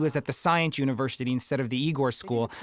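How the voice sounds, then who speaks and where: A man speaks, his pitch varying in an ordinary way. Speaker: film director. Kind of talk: audio commentary.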